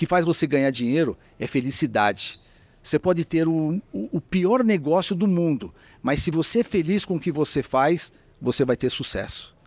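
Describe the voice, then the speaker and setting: On a very clean recording with a silent background and a dry, close sound with no echo, a man with an ordinary speaking voice talks at a moderate pace, using lively intonation and a fairly high pitch. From São Paulo, Brazil (Mooca, east side). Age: 60s. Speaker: franchise businessman. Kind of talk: interview conversation. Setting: restaurant.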